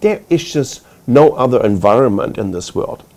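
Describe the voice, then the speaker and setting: A man with a German accent talks at medium pitch and a moderate pace, his pitch swinging very widely. Noticeable background noise runs underneath. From Germany. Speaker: tech executive panelist. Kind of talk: panel discussion.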